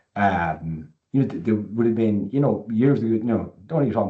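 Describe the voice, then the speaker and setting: A man with an Irish accent speaks at a moderate pace. His pitch is fairly low, with ordinary pitch variation. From rural Ireland. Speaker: panel moderator on rural mental health. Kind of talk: panel discussion. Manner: halting, many repetitions.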